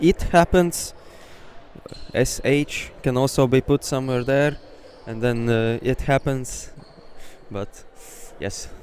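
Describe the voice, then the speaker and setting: A man with a Latvian accent at medium pitch and ordinary pitch variation, very slow with long, frequent pauses, over noticeable background noise. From Latvia, Ogre. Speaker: sports commentator. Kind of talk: live commentary. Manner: animated.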